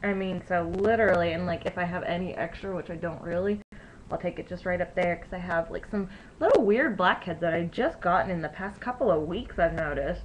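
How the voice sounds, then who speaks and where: Soft-spoken and fairly quick, a woman talks with ordinary pitch variation over noticeable background noise. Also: medium pitch for a woman. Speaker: beauty vlogger. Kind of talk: tutorial. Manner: casual, filler-heavy.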